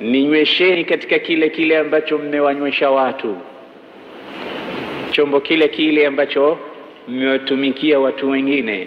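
Over light background noise, a man talks at a moderate pace with fairly even intonation and long, frequent pauses. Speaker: religious preacher. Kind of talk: sermon. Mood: warm, smiling. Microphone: handheld.

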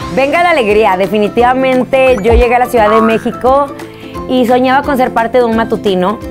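A woman talks at a high pitch and a fairly quick pace. Clear music plays in the background. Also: ordinary pitch variation. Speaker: TV and radio host. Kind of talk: casual talk to camera. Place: studio.

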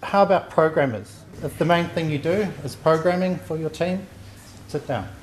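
Over light background noise, a man with a New Zealand accent speaks at a moderate pace. His pitch is fairly high, with ordinary variation. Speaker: software testing engineer; conference presenter. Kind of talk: conference talk. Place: hall. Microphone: handheld.

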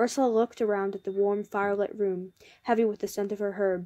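The voice heard here is a natural reading voice.

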